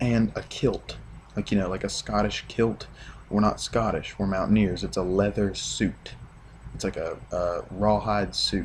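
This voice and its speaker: Here a man talks at a fairly slow pace. He has a West Virginia accent. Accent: West Virginian. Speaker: sports fan vlogger. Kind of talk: casual video rant.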